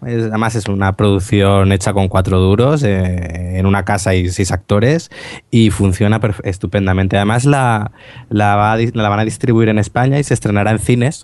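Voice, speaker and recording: This man has an unremarkable speaking voice, fairly low in pitch, with ordinary pitch variation, a moderate pace and very even loudness. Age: 20s. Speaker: podcast co-host. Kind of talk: casual chat.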